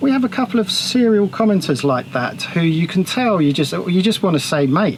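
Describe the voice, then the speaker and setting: Over noticeable background noise, a high-pitched man speaks at a fairly quick pace with very wide pitch swings and very even loudness. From England, Essex. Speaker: sailing vlogger. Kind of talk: casual chat.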